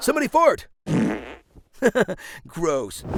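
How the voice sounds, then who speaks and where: A man is speaking. Music plays in the background. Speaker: trailer voice narrator. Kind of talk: movie trailer parody narration with sarcastic humor. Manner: sarcastic, dry, mocking.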